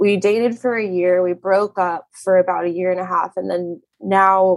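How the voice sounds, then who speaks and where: A woman speaks in an ordinary speaking voice with an American accent, at medium pitch. Her pace is fairly slow and her intonation fairly even. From Arizona. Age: 30s. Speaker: caller seeking relationship advice. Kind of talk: casual chat.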